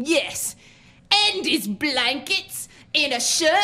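A woman puts on a character voice, high-pitched with a bright, sharp tone. She speaks slowly, and her pitch swings widely.

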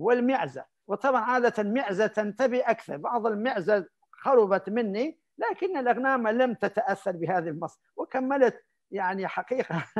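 A man's high-pitched, fairly slow speech with lively intonation over a quiet background. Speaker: Islamic scholar and preacher; preacher. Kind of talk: interview anecdote. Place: home room. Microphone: video call.

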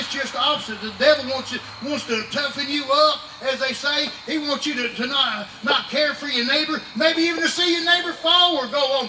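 A man's raised, projected, extremely high voice at a fairly quick pace with fairly even intonation, light background noise and audible room echo. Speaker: preacher. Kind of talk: revival sermon. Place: tent.

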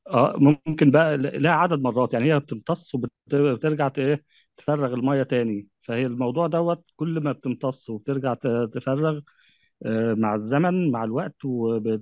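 With a dry, close sound and no echo over a quiet background, a man speaks at a fairly slow pace, fairly high for a man, with ordinary pitch variation. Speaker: polymer researcher. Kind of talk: panel discussion. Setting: video call.

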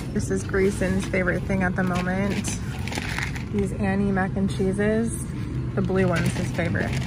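A woman is heard in a dry sound with no echo, against loud background noise. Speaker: mom vlogger. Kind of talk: casual vlog chat. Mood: cheerful, chatty, laughs. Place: shop. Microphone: phone near.

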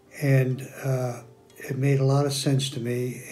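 A man's monotone, flat delivery at a very slow pace, with music in the background. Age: 70s. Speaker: stem cell therapy patient. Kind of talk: patient testimonial interview answer. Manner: hesitant, many filler words. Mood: calm, satisfied.

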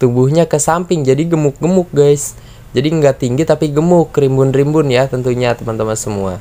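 A man talks at a fairly quick pace with hardly any pauses, in an animated, upbeat tone at a fairly high pitch with ordinary pitch variation. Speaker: orchid seller and youtuber. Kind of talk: sales pitch. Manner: animated, upbeat, persuasive; fast talker, repeats guys constantly. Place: garden. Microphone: phone near.

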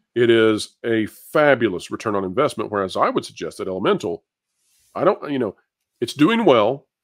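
Here a man talks at a fairly quick pace. His is a plain, everyday voice at a medium pitch. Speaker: entertainment news YouTuber. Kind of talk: panel discussion. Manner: polished.

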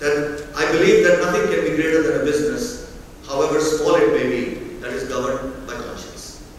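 Strong room echo and light background noise surround a man speaking at a moderate pace. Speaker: keynote speaker. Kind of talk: keynote speech. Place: hall.

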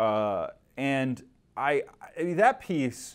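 The speaker is a man. He talks with an American accent. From Michigan. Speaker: newspaper political reporter. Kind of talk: interview conversation. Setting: studio. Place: studio.

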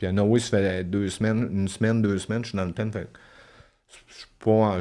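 A man's fairly low, monotone, flat voice in a Quebec accent. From Quebec (La Tuque). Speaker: former inmate; podcast guest. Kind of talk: testimony. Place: studio. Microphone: studio mic.

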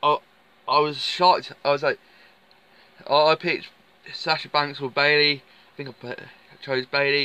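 A man's voice, dry and free of any echo. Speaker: wrestling fan vlogger. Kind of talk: casual vlog chat. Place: car.

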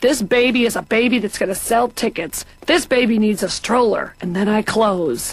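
A woman talks at a moderate pace with hardly any pauses, in a plain, everyday voice. Her pitch is fairly high, with ordinary pitch variation. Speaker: comedian guest playing patient. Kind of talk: scripted animated comedy dialogue.

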